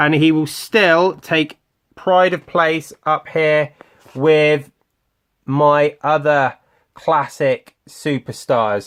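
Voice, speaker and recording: A man's fairly high voice with a British accent, very slow in pace, with ordinary pitch variation. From UK. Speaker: toy collector youtuber. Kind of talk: toy unboxing video. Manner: casual, hesitant with fillers.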